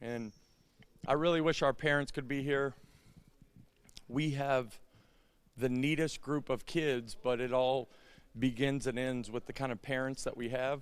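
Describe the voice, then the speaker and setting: The pace is fairly slow, with long, frequent pauses and fairly even intonation. The recording is very clean, with a silent background. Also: man, medium pitch for a man. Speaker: basketball head coach. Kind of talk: post-game interview. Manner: loud and strong.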